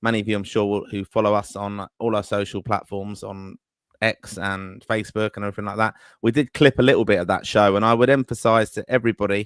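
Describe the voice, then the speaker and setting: A man with an English accent, fairly low in pitch and fairly even in intonation, at a very fast pace, in a dry, close recording with no echo and a silent, very clean background. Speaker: football podcast host. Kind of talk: live podcast chat.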